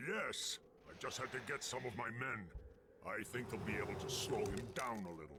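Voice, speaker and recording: Over loud background noise, a man puts on a character voice at a medium pitch and a moderate pace. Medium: video game. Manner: commanding, proud.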